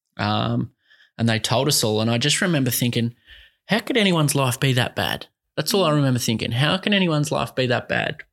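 A man with an Australian accent at a fairly quick pace, lively intonation and vocal fry, on a very clean recording with a silent background. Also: medium pitch for a man, very even loudness. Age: 20s. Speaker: mental health advocate. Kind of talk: casual interview chat.

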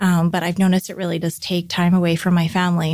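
A woman's fairly low, flat, monotone voice with a Canadian accent, at a very fast pace, on a very clean recording with a silent background. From Vancouver, Canada. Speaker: baking business owner. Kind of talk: casual interview chat.

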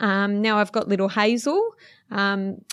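At medium pitch, a woman talks at a moderate pace with fairly even intonation. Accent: Australian. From western Sydney, Australia. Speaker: footballer's wife. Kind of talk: interview.

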